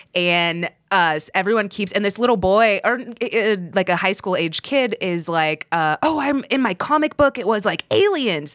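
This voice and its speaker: A woman with a normal speaking voice in an American accent, medium pitch, lively intonation, and a moderate pace, in a dry, close sound with no echo. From Texas. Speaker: streamer. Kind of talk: casual chat.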